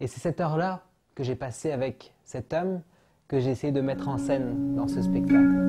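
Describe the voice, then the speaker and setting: Music plays in the background. A man speaks at a medium pitch and moderate pace with lively intonation. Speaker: actor and storyteller. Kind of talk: interview about his show. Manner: hesitant, with filler words.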